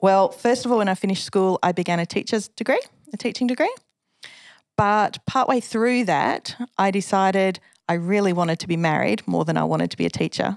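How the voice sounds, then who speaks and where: In an Australian accent, a woman talks at a fairly quick pace with a medium pitch and ordinary pitch variation. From Western Australia, Perth. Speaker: officer and former school chaplain. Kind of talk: interview testimony.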